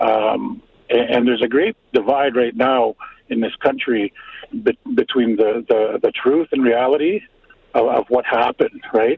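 Speaking at a fairly slow pace, a man keeps his loudness very even. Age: 50s. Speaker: caller. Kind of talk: emotional personal testimony. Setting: phone call. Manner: halting, repeats words.

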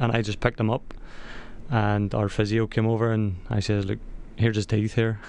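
A man with a Northern Irish accent talks at a fairly quick pace. His pitch is fairly low and his intonation monotone and flat. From Northern Ireland. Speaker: soccer player. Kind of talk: radio interview. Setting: studio.

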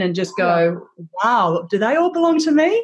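A woman speaks with an Australian accent at a moderate pace. Her intonation is lively. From Australia, Melbourne. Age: 40s. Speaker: social media influencer. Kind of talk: interview. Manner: energetic, animated.

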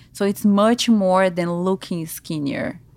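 In a Brazilian Portuguese accent, a woman speaks at a fairly slow pace with fairly even intonation, in a very clean recording with a silent background and a dry, close sound with no echo. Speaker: lymphatic massage therapist. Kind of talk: interview.

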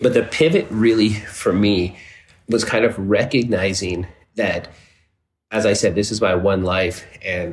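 Somewhat breathy, a man talks at a fairly low pitch with fairly even intonation. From Texas, Dallas. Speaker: entrepreneur. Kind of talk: interview.

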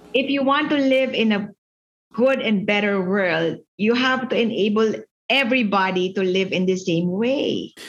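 Speaking in a Visayan Filipino accent, a woman keeps a fairly high pitch and very even loudness. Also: ordinary pitch variation, moderate pace. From Philippines, Cebu (Visayas). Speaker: finance executive and education advocate. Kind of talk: casual interview chat, mixing Tagalog and English. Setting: video call.

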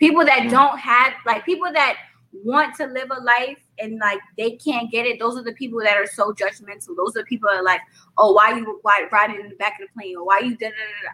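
In a New York accent, the speaker's bright, sharp tone moves at a fairly quick pace, with lively intonation and big swings in loudness. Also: woman, fairly high pitch for a woman. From Brooklyn, New York. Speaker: rapper and singer. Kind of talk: interview.

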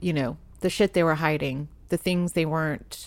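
On a very clean recording with a silent background, a woman with a fairly low pitch talks at a moderate pace. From Providence, Rhode Island, US. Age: 40s. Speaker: artist and tarot deck creator. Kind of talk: casual interview chat. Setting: in person, recording. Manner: halting, many fillers.

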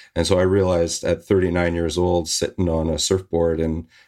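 A man with a western Canadian accent, very deep and low in pitch, flat and monotone, at a moderate pace. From Canada, Victoria, British Columbia. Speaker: former air force demonstration pilot and filmmaker. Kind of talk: interview. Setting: video call.

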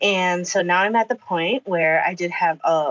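A woman has an ordinary speaking voice. Her pitch is medium and her pace is moderate. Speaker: elementary school teacher. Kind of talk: casual chat. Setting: video call.

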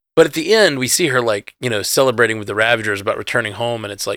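On a very clean recording with a silent background and a dry, close sound free of echo, a man speaks very fast at a medium pitch, his tone bright and sharp, with ordinary pitch variation. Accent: Southern US. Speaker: podcast host. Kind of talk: casual chat. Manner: casual, rambling.

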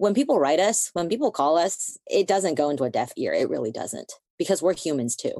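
A woman with an American accent speaks at a moderate pace in a fairly low voice, her pitch swinging very widely, with a dry, close sound, no echo and a quiet background. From United States. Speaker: prosecutor and podcast co-host. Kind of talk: interview conversation.

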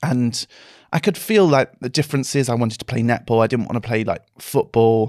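A man with an unremarkable speaking voice talks at a fairly quick pace in a medium pitch with ordinary pitch variation. The sound is dry and close, with no echo. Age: 30s. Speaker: actor and dancer. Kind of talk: casual chat.

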